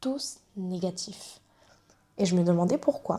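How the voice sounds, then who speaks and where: A woman speaks at a very slow pace, her voice somewhat breathy. Her tone is dark and mellow. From Réunion. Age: 20s. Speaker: YouTuber. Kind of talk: personal vlog. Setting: to camera.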